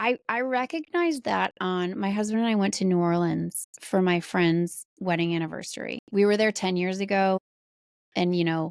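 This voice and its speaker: Speaking with an American accent, a woman uses a medium pitch and ordinary pitch variation. Her loudness stays very even at a moderate pace. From Wisconsin, US Midwest. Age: 40s. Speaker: author. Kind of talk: podcast interview.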